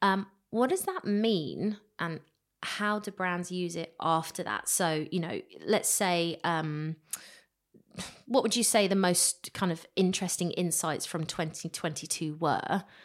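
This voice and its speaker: A woman with a plain, everyday voice speaks at a fairly slow pace in a fairly low pitch with ordinary variation. The recording is very clean, with a silent background. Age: 30s. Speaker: podcast host. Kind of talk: casual interview chat.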